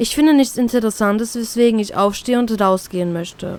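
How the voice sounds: Here a woman talks at a moderate pace with a fairly high pitch. Her tone is slightly mellow and her pitch varies in an ordinary way.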